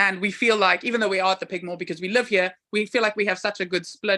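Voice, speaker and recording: The voice is loud, with a bright, sharp tone. The background is quiet. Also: woman. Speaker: pub landlady.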